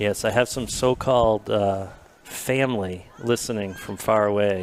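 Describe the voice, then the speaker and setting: A man with a New England accent speaks at a fairly low pitch. His pace is fairly slow, and there is noticeable background noise. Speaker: sports commentator. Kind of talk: live commentary. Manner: animated.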